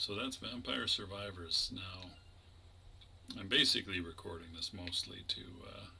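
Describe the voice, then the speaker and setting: A man at a moderate pace, with big swings in loudness, long and frequent pauses, and noticeable background noise. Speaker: gaming YouTuber. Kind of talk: gameplay commentary.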